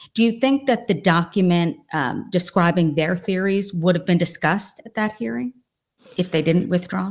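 A woman with a plain, everyday voice speaks at a moderate pace and medium pitch with lively intonation, on a very clean recording with a silent background. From New Jersey. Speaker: true crime author.

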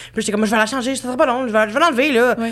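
Here a woman speaks with a Quebec accent. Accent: Québécois French. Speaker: podcast host. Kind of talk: casual chat.

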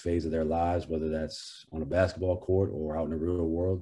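Speaking in an American accent against a quiet background, a man uses a very deep, low pitch, a dark, mellow and somewhat breathy tone, monotone, flat intonation and a fairly quick pace. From Maine, US. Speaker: college basketball head coach. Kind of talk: interview.

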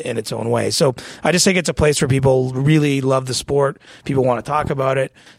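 Talking at a very fast pace, a man with a Canadian accent keeps a medium pitch and fairly even intonation. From small-town Ontario, Canada. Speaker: hockey reporter. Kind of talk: casual chat. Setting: studio.

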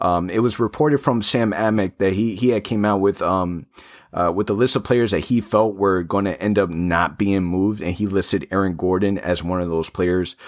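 A man has an unremarkable speaking voice with a fairly low pitch. He talks at a moderate pace with ordinary pitch variation. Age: 30s. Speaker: sports podcast host. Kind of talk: casual chat. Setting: studio.

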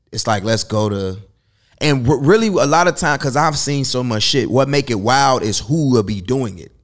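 On a very clean recording with a silent background, a man with an American accent uses lively intonation in a normal speaking voice. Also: medium pitch for a man, moderate pace. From Chicago. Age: 30s. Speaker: nightlife promoter and entrepreneur. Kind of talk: casual chat.

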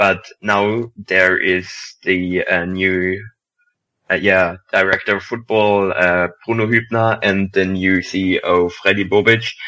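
Someone with a German accent speaks at a very slow pace in a bright, sharp tone. The intonation is monotone and flat, and the background is quiet. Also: man, very deep, low pitch for a man. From Germany. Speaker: football writer. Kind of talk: casual chat.

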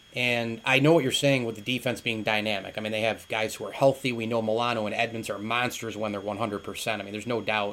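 Medium in pitch, a man speaks at a very fast pace. He hardly pauses at all. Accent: American. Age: 40s. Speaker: sports podcast host. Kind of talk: casual sports chat. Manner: animated.

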